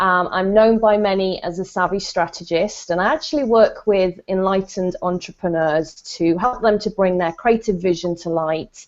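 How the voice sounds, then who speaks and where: A woman with a British accent speaks at a moderate pace, her pitch varying in an ordinary way. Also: medium pitch for a woman, hardly any pauses. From Britain. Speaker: business strategist. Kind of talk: self-introduction in panel discussion. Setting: video call.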